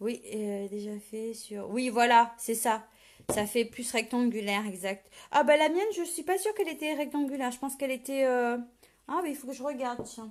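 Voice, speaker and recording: A woman's high voice at a moderate pace with big swings in loudness, on a very clean recording with a silent background. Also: lively intonation. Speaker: paper craft demonstrator. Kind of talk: live tutorial. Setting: live video stream. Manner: casual, hesitant with many fillers.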